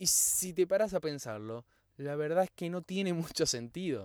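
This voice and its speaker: Here a man speaks at a fairly high pitch with lively intonation and an animated tone. The sound is dry and close, with no echo. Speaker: podcast host. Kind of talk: solo motivational podcast monologue.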